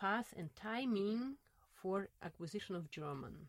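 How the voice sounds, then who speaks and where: Lively intonation in a Russian accent, with a dry, close sound and no echo. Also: woman. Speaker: linguistics professor and researcher. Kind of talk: interview, casual academic conversation. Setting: studio, filmed in a lab. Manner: hesitant, with fillers and laughs.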